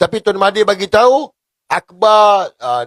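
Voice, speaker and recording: The man's voice is high, with ordinary pitch variation. He speaks fairly slowly, in a dry, close sound with no echo. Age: 40s. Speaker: political commentator. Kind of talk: political commentary vlog. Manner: animated.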